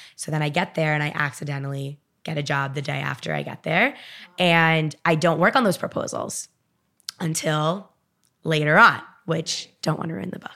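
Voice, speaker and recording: A woman speaks at a very deep, low pitch with vocal fry and ordinary pitch variation. Her tone is bright and sharp, her loudness swings widely, and the recording is very clean with a silent background. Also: moderate pace. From Miami. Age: 20s. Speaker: author. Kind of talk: casual chat.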